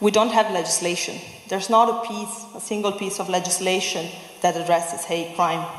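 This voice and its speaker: Talking at a fairly quick pace, a woman with a medium-pitched voice keeps her intonation fairly even, with audible room echo and noticeable background noise around her. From Italy. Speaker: human rights advocate. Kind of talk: public speech.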